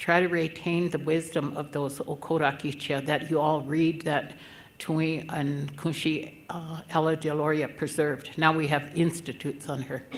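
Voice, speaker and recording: Audible room echo surrounds a woman with a very deep, low voice, speaking at a moderate pace in a monotone, flat way. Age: 70s. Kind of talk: conference speech.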